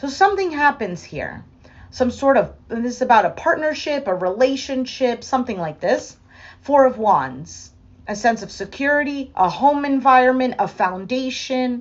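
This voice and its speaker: A woman talks with a high pitch and lively intonation. Her pace is moderate. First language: not English. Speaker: tarot reader. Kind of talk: tarot reading. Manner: halting.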